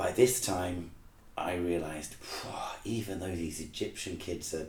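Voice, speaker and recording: In a room with audible echo, a man with a very deep, low pitch talks at a moderate pace in a somewhat breathy voice. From England, Manchester. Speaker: rock band lead singer and teacher. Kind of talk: casual interview chat.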